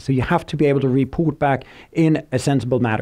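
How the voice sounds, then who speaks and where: A man's dark, mellow voice with a Swedish accent. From Sweden. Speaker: tech company speaker. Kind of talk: conference presentation. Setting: stage with audience. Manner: fast; halting, many fillers.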